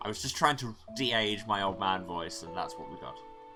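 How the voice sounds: The words come in a natural reading voice.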